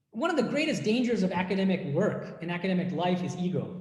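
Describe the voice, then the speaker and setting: With an American accent, a man speaks at a fairly quick pace in a high voice with ordinary pitch variation, amid noticeable background noise and audible room echo. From US, Boston area. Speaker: monk and philosophy professor. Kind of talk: academic discussion Q&A. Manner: hesitant, repeats words.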